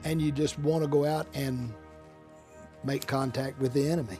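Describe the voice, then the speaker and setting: Over music in the background, the speaker uses fairly even intonation with an American accent. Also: man. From Central Texas. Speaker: Vietnam War veteran, attorney. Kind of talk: interview answer.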